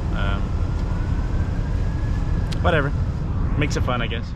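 A man speaks over loud background noise. The sound is dry, with no echo. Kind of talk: casual vlog chat. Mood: bored, mildly frustrated. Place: motorbike. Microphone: helmet.

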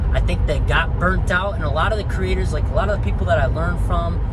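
A man speaks at a very fast pace. Loud background noise surrounds him. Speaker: podcast host. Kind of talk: casual podcast monologue. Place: car. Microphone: phone near.

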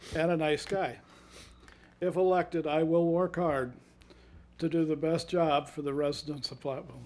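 With long, frequent pauses, a man keeps a moderate pace, a fairly high pitch and fairly even intonation. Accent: Upper Midwest. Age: 60s. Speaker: city council candidate. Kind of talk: candidate forum closing statement.

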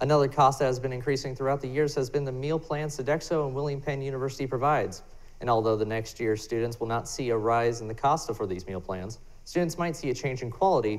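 Pitch variation stays ordinary. The man speaks very fast. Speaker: student news reporter. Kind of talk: news report. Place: studio.

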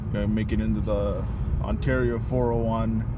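A man talks at a moderate speed amid loud background noise, the sound dry and free of echo. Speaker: vlogger. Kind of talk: casual vlog chat. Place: car. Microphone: phone near.

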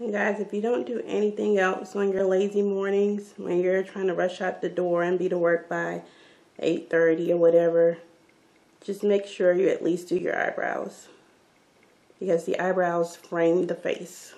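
A woman's medium-pitched voice, dark and mellow in tone, with monotone, flat intonation at a moderate pace. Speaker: beauty vlogger. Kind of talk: tutorial. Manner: casual, chatty. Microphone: phone near.

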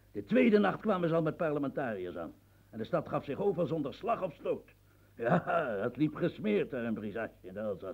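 In a put-on character voice, a man talks fairly quickly at a fairly high pitch, with big pitch swings and vocal fry.

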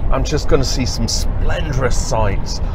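A man's voice comes through dry with no echo, alongside noticeable background noise. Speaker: photography vlogger. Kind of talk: casual vlog chat. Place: car. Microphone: phone near.

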